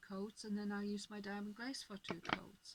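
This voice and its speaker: A woman speaks at a medium pitch. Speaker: crafter. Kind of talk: tutorial. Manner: halting; speaking up.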